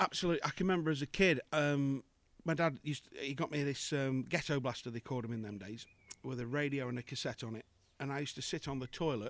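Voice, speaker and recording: Speaking very fast, a man uses an English Midlands accent with fairly high pitch and ordinary pitch variation. The recording is very clean, with a silent background. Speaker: singer and impressionist. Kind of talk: casual chat. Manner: jokey, laughs often.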